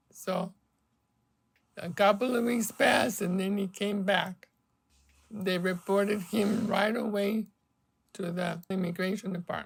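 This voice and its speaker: A woman's medium-pitched voice with a Spanish accent, fairly even intonation, long and frequent pauses, and a fairly slow pace. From Mexico. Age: 70s. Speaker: polio survivor. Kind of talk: interview testimony.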